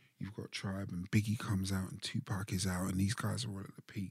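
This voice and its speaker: With a somewhat breathy voice at a fairly low pitch, a man talks in fairly even intonation over a dry, close sound with no echo. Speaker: hip hop artist and producer. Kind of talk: interview. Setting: at home.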